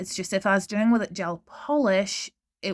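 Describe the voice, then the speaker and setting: In a normal speaking voice, a woman talks at a moderate pace with a medium pitch and ordinary pitch variation, on a very clean recording with a silent background. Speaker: nail art educator. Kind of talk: tutorial voice-over narration. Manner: casual, chatty.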